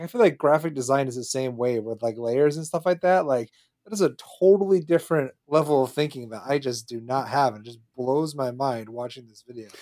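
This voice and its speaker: An ordinary speaking voice from a man at medium pitch, fairly quick in pace, with ordinary pitch variation. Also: big swings in loudness. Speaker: podcast co-host. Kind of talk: casual chat.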